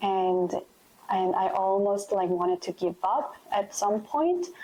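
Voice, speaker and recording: A woman with a Korean accent, medium pitch and a dark, mellow tone, at a fairly slow pace. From South Korea. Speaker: interviewee sharing immigration experience. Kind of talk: interview testimony.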